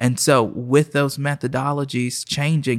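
At a moderate pace, a man with an American accent talks at a medium pitch in a monotone, flat intonation, with a dry, close sound and no echo. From Oklahoma City. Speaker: pastor. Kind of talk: casual interview.

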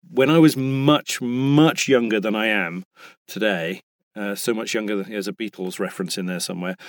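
This man has a British accent, a fairly low pitch and lively intonation. He talks at a fairly quick pace, and the sound is dry and close with no echo. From England. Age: 50s. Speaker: voice actor. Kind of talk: casual interview chat. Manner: halting, many restarts.

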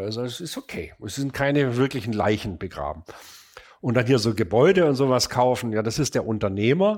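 On a very clean recording with a silent background, a man with an ordinary speaking voice talks at a moderate pace and medium pitch, his intonation lively. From Stuttgart, southwestern Germany. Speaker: furniture designer and manufacturer. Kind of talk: casual interview conversation. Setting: in person at an old country house office.

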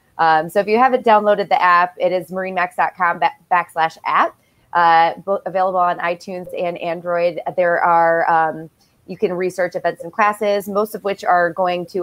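With an American accent, a woman speaks in a plain, everyday voice at a fairly low pitch, with fairly even intonation and a moderate pace. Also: dry, close sound with no echo. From Michigan. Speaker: company podcast host. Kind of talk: casual video interview.

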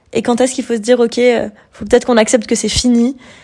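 A woman speaks with a dark, mellow tone at a fairly high pitch. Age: 20s. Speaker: podcaster. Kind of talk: casual monologue. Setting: lying on her bed at home. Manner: hesitant, many fillers.

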